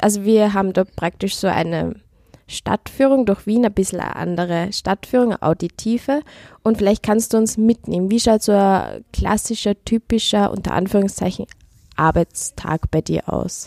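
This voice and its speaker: At a moderate pace, a dark, mellow tone carries ordinary pitch variation in a very clean recording with a silent background and a dry, close sound with no echo. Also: woman, medium pitch for a woman. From Upper Austria. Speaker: podcast host. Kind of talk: interview.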